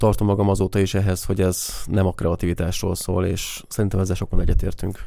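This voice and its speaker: Very fast and flat, a man's monotone voice sits at a fairly low pitch with a dark, mellow tone. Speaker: photographer and podcast co-host. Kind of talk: casual chat.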